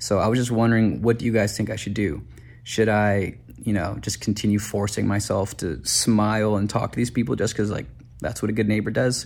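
A man's fairly low voice with vocal fry and an American accent, at a fairly quick pace with ordinary pitch variation. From Detroit. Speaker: listener submitting a question. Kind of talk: recorded video message.

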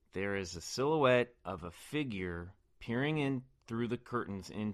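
Against a quiet background, a man speaks at a moderate pace with lively intonation. He has a normal speaking voice. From Kansas City, US Midwest. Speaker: actor and podcast co-host. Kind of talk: casual chat.

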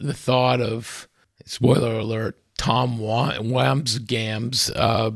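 A man is speaking. His voice has vocal fry. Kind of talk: casual interview. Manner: halting, many fillers.

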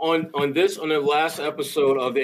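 A man speaks with fairly high pitch and ordinary pitch variation. He has an ordinary speaking voice. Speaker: basketball analyst. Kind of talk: casual sports debate.

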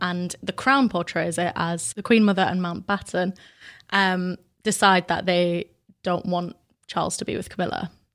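In a very clean recording with a silent background, a woman with a British accent speaks at a moderate pace with fairly even intonation. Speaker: podcast presenter. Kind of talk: casual chat.

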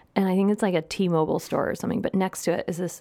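A woman speaks with a Midwestern US accent at a medium pitch. Her pitch varies in an ordinary way, and background noise is noticeable. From US Midwest. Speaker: food and drink journalist. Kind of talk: casual chat.

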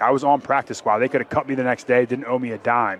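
A man's normal speaking voice at a medium pitch and fairly quick pace, in a dry, close sound with no echo. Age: 30s. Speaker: NFL offensive lineman. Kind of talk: interview.

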